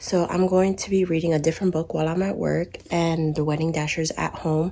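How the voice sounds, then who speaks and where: A soft-spoken woman's fairly low voice at a fairly quick pace, monotone with flat intonation. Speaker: reading vlogger. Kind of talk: casual vlog talk.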